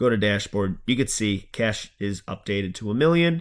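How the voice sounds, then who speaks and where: A man with a Long Island accent at a moderate pace, on a very clean recording with a silent background. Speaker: finance YouTuber. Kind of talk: tutorial. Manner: casual.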